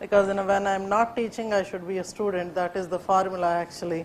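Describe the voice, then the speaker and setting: This woman has a Pakistani accent and a medium pitch. Her intonation is flat and monotone. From India, Telugu-speaking region. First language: Urdu. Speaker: civil service exam coaching teacher. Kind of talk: classroom lecture. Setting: classroom with students. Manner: hesitant, many fillers; code-switching Hindi and English.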